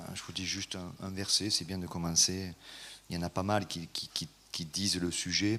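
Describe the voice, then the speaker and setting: In a southern French accent, a man talks at a very slow pace with a bright, sharp tone on a very clean recording with a silent background. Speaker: preacher. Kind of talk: sermon. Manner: hesitant, many fillers.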